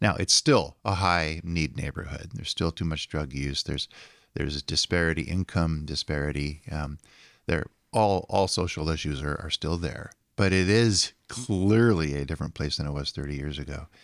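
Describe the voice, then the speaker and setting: A man speaks with a very deep, low pitch, vocal fry and ordinary pitch variation, at a moderate pace. The recording is very clean, with a silent background and a dry, close sound with no echo. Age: 70s. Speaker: urban ministry leader. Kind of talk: casual chat.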